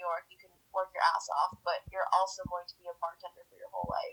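A woman's voice at a fairly quick pace. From Edmonton, Canada. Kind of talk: casual interview.

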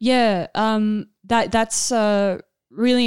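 In an Australian accent, a woman at medium pitch speaks with fairly even intonation. The recording is very clean and dry, close with no echo and a silent background. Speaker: actor and filmmaker. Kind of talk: casual chat. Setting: studio.

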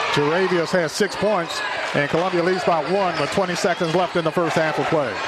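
A man at a high pitch with very even loudness, over noticeable background noise. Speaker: high school basketball radio play-by-play announcer. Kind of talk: live play-by-play basketball commentary. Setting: courtside in a loud, packed school gym. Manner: rapid clipped play calls, rising excitement on big shots; chuckling, folksy and self-correcting after slips.

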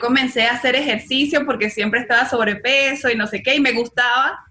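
Over noticeable background noise, a woman talks at a fairly quick pace in a raised, projected voice. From Venezuela. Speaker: guest sharing fitness experience. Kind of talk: casual chat.

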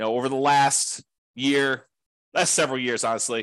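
Against a quiet background, a man with an ordinary speaking voice talks at a fairly quick pace and a medium pitch, with ordinary pitch variation. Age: 40s. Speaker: podcast host and real estate investing teacher. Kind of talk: solo presentation. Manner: casual with frequent fillers.

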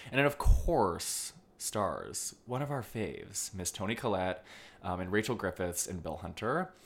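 This man has a fairly low pitch and a normal speaking voice. The recording is very clean, with a silent background. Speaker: film podcast host. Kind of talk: casual chat.

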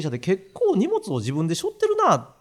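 On a very clean recording with a silent background, a man with a Kansai accent speaks at a fairly quick pace. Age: 60s. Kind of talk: casual chat.

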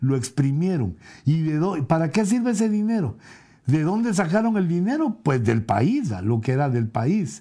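In a dark, mellow tone, a man talks at a fairly slow pace with very wide pitch swings. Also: fairly high pitch for a man, very clean recording, silent background. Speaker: apostle and preacher. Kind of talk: bible teaching. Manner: hesitant, frequent fillers.

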